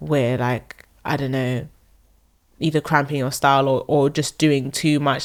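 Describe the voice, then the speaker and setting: In a London accent, a woman speaks at a very deep, low pitch with monotone, flat intonation. The recording is very clean with a silent background. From South London. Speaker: singer-songwriter. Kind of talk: casual interview chat. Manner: halting, many fillers.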